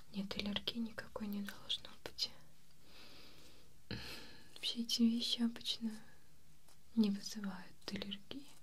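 The speaker whispers at a very slow pace. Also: woman. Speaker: beautician role-play host. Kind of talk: soft-spoken role-play talk to viewer. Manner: soft, hushed ASMR murmur. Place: home room.

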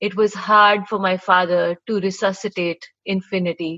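A woman at a fairly slow pace with fairly even intonation, quiet background. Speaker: poet. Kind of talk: poem performance. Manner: measured, lyrical, wry. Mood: quiet, wistful. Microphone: webcam.

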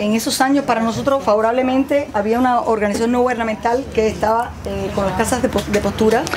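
Amid noticeable background noise, a woman with a fairly high pitch talks at a very fast pace, her loudness very even and her intonation fairly even. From Cuba. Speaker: agronomist; farm guide. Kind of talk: guided tour. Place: farm machine. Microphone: camera far.

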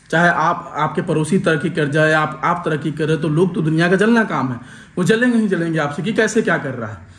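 A man's high-pitched voice at a moderate pace, ordinary pitch variation and hardly any pauses, over noticeable background noise. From Bihar, India. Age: 20s. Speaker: vlogger. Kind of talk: casual vlog narration.

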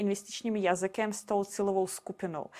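A woman with a Russian accent at a moderate pace, on a very clean recording with a silent background. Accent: Russian accent in Czech. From Russia and Belarus. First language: Russian (speaking Czech). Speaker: castle sales consultant. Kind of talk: interview.

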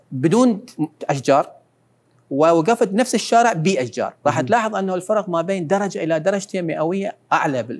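A high-pitched man speaks at a moderate pace. His intonation is lively. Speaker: academic and environmental expert; guest. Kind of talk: interview. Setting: studio. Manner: halting. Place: studio. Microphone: lapel.

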